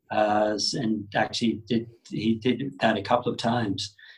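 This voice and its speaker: A man's medium-pitched voice with fairly even intonation, in an Australian accent. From Australia, Sydney. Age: 40s. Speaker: yoga teacher. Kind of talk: casual interview.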